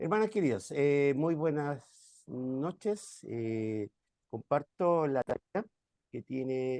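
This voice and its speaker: This man's voice has a dark, mellow tone and very wide pitch swings, recorded with a dry, close sound and no echo. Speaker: pastor. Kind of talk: online class presentation. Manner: soft-spoken.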